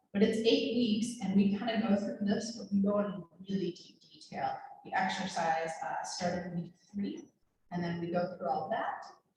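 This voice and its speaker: Audible room echo surrounds a woman's somewhat breathy voice. Her loudness swings widely. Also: medium pitch for a woman, ordinary pitch variation, moderate pace. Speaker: nurse and injury prevention educator. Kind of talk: health education talk to a group. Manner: animated.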